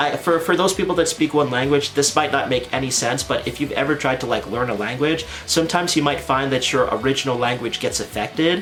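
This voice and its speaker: In a Canadian accent, a man with a fairly high pitch talks in an animated tone at a very fast pace, barely pausing. His pitch varies in an ordinary way, and there is noticeable background noise. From Canada. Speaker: anime content creator. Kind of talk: casual vlog talk to camera. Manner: animated, casual.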